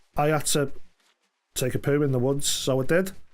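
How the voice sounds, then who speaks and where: A man's voice with audible room echo. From England, Liverpool. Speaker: gaming streamer. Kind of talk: casual chat. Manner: fast; animated.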